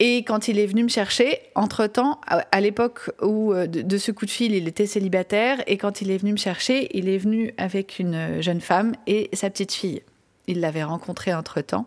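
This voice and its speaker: This woman has a medium-pitched voice. She talks at a moderate pace. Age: 40s. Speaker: parenting coach and podcast host. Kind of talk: personal monologue podcast.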